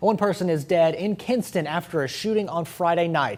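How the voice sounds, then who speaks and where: A man with an American accent talks at a fairly quick pace in a voice pitched high for a man. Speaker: TV news anchor and reporter. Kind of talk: TV news anchor read.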